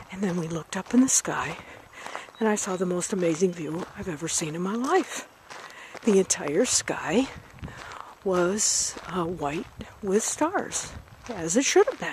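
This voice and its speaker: The speaker talks at a fairly slow pace with lively intonation, leaving long, frequent pauses. Noticeable background noise runs underneath. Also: woman, medium pitch for a woman. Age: 60s. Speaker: video blogger. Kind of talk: casual vlog monologue. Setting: outdoors.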